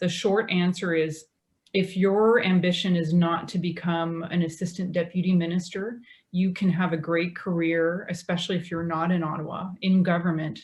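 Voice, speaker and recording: A woman with a fairly low pitch speaks at a moderate pace in a monotone, flat intonation, her voice somewhat breathy. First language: French. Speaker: government lawyer. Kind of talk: panel discussion.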